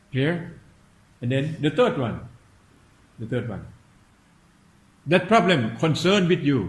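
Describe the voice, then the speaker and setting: With audible room echo, a man speaks in vocal fry, his pitch swinging very widely and his delivery broken by long, frequent pauses. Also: fairly high pitch for a man, fairly slow pace. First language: Thai. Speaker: meditation teacher. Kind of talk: dharma talk. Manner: halting.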